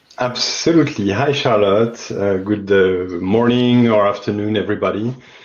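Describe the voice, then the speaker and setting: A man speaks at a medium pitch with a French accent. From France. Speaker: climate investment fund business development lead. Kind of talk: interview. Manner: halting.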